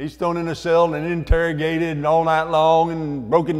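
There is a man speaking against a quiet background. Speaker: guest. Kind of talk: sermon. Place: hall. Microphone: lapel.

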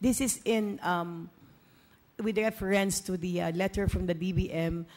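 Her tone dark and mellow, a woman speaks at a fairly slow pace. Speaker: council majority leader. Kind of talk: formal council floor remarks. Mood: measured, pointing out discrepancy. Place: hall. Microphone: podium.

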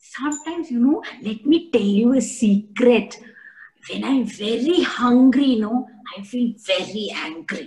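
Her voice sits high for a woman. She talks at a fairly slow pace. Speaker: storyteller for children. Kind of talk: children's storytelling. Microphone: video call.

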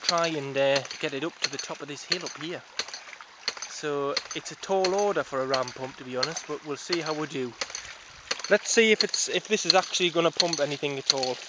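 A man talks at a fairly quick pace with ordinary pitch variation. The sound is dry with no echo, but the background noise is loud. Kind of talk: casual tutorial narration. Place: garden. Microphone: phone near.

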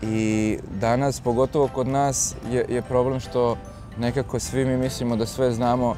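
A dry sound with no echo, with clear music in the background. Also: man. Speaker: fitness coach interviewee. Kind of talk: interview answer. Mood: relaxed, smiling. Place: garden. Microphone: lapel.

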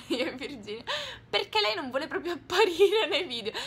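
A woman speaks very fast with very wide pitch swings. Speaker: vlogger. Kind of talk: casual vlog. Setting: bedroom. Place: home room. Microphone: phone near.

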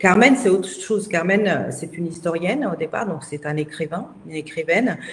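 In a plain, everyday voice, a woman speaks at a moderate pace, fairly low in pitch with ordinary pitch variation. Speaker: interviewee. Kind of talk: interview answer. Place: home room. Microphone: video call.

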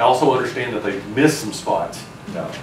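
Noticeable background noise sits behind a man speaking at a fairly quick pace. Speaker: city official giving a report. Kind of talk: meeting report. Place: meeting room. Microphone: camera far.

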